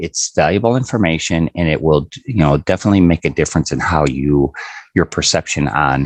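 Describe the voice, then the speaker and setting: A man with a very deep, low pitch talks at a fairly quick pace. His intonation is lively, and the sound is dry and close with no echo. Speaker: sales presenter for precious metals savings. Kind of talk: live sales presentation. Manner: fast.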